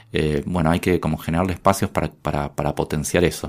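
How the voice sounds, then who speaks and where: At a moderate pace, a man talks on a very clean recording with a silent background. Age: 40s. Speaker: journalist and economist. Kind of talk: casual interview.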